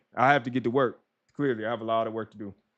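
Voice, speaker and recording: An energetic man at a fairly quick pace over a quiet background. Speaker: ADHD and OCPD life coach; streamer, productivity coach. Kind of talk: live stream wrap-up. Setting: live stream on camera. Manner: casual, energetic; fast. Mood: warm, encouraging. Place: home room. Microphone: studio mic.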